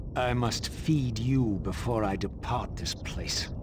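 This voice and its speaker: Over loud background noise, a man performs a put-on character voice. He goes at a fairly slow pace. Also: medium pitch for a man. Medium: video game. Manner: grave, measured.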